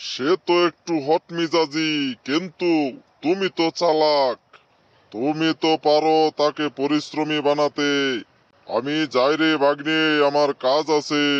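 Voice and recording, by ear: A man in a cartoonish character voice, fairly high in pitch, at a fairly slow pace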